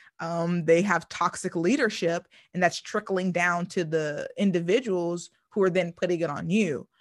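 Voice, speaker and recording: With an ordinary speaking voice, a woman talks at a moderate pace against a quiet background, her pitch fairly low and her intonation fairly even. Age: 30s. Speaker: podcast host. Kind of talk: casual chat.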